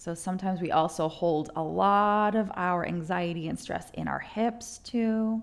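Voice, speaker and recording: A woman's normal speaking voice at medium pitch, fairly slow, with ordinary pitch variation and hardly any pauses. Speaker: yoga instructor. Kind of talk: guided yoga class.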